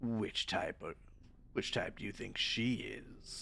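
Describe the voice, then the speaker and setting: A man puts on a character voice with a theatrical tone, speaking at a fairly slow pace over clear background noise. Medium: virtual streamer. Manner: rambling, theatrical.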